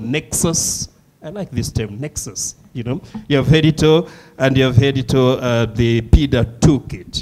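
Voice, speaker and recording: With a Malawian accent, a man speaks at a moderate pace in a medium pitch, showing ordinary pitch variation. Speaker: session chair. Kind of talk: panel moderation.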